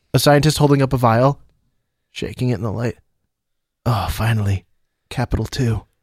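Recorded dry and close with no echo, a man at a medium pitch speaks at a moderate pace with ordinary pitch variation and long, frequent pauses. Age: 20s. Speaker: podcast co-host. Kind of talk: casual chat. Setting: studio.

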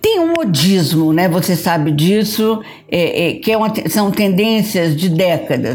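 A woman's fairly low-pitched voice at a fairly slow pace, with noticeable background noise and audible room echo. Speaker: photographer. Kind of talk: interview.

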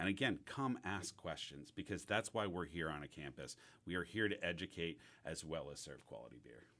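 A man with an American accent and a very deep, low pitch talks at a fairly quick pace, his bright, sharp tone edged with vocal fry and moving through very wide pitch swings. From US Northeast, New York City. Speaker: head brewer. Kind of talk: interview.

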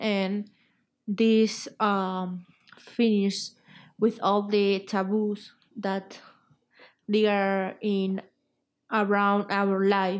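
A woman with a Spanish accent talks at a very slow pace in a monotone, flat way, with long, frequent pauses, in a very clean recording over a silent background. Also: medium pitch for a woman. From Spain. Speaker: guest with Asperger's. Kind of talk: interview. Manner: halting.

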